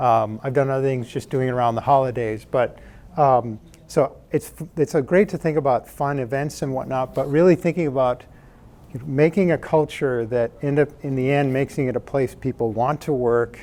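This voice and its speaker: Speaking at a moderate pace, a man with a Midwestern American accent has a medium pitch. His dark, mellow tone carries ordinary pitch variation. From US Midwest (Michigan, Indiana). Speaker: startup founder and tech executive. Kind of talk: conference talk. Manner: soft-spoken.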